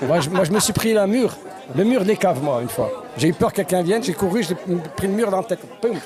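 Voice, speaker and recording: Crowd noise fills the background as a man talks fairly quickly in a high voice. His intonation is lively and his loudness very even. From France, grew up in this housing estate. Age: 50s. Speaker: former resident sharing memories. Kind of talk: casual group interview.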